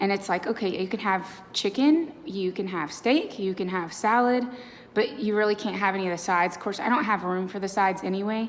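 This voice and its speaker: A woman's medium-pitched voice, with ordinary pitch movement, comes through noticeable background noise. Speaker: vlogger. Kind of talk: casual vlog update. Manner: casual with many fillers.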